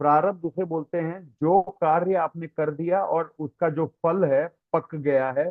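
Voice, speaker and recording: Fairly even intonation from a man with a fairly high pitch. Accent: Tamil. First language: Tamil (speaking Hindi). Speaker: spiritual teacher. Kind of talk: religious lecture with Q&A. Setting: online class. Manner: hesitant, frequent fillers.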